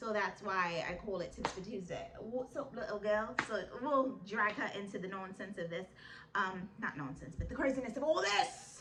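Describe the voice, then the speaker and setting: A woman's medium-pitched voice, animated with lively intonation at a moderate pace, with audible room echo and noticeable background noise. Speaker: vlogger giving life advice. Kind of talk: casual advice vlog. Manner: loud.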